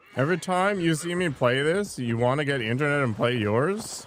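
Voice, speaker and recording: Lively intonation marks a man talking at a moderate pace over noticeable background noise. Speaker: gaming livestreamer. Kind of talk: live gameplay commentary. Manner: casual, conversational.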